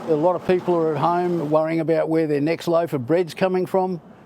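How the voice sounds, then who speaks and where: Against noticeable background noise, a man with an Australian accent speaks at a fairly quick pace, with a fairly high pitch and fairly even intonation. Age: 70s. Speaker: mowing franchise owner. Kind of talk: interview answer.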